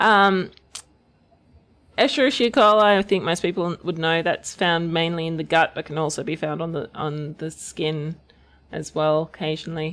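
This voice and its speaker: In an Australian accent, a woman talks with a fairly low pitch. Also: ordinary pitch variation, moderate pace, very clean recording, silent background. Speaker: research channel host.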